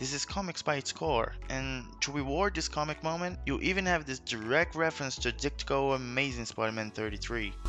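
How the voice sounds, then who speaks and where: Music plays in the background as a man with a non-native accent talks at a fairly quick pace. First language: not English. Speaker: YouTube film commentator. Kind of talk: movie commentary video essay.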